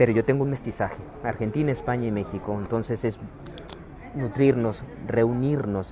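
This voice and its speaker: A speaker with a Mexican accent talks at a moderate pace with fairly even intonation. Background noise is noticeable. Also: man, medium pitch for a man. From Mexico. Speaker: spiritual wellness speaker. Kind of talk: livestream talk. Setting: airport.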